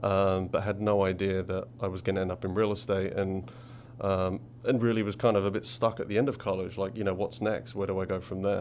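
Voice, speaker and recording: A man with an English accent, fairly low in pitch, ordinary in pitch variation, at a fairly quick pace. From England, Essex. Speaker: commercial real estate director. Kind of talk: interview.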